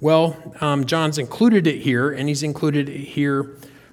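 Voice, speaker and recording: A man with an American accent speaks at a fairly slow pace with ordinary pitch variation over noticeable background noise. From North Carolina. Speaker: pastor. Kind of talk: sermon. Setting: church. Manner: halting.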